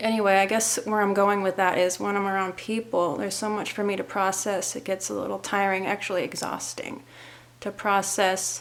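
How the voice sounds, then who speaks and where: A woman of medium pitch with an American accent and monotone, flat intonation. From US Pacific Northwest (Seattle). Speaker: vlogger and author. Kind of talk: casual vlog talk to camera. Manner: slow, deliberate; hesitant, with fillers.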